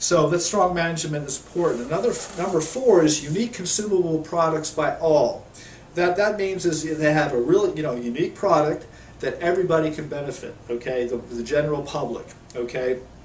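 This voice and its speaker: Through noticeable background noise and audible room echo, a man talks at a fairly high pitch and a fairly quick pace, with ordinary pitch variation. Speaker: network marketing promoter. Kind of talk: video tutorial. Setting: home office. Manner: halting, many fillers.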